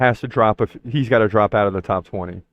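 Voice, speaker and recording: The man talks at a fairly quick pace. His pitch is fairly low. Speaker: MMA podcast host. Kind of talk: solo podcast commentary. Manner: fast.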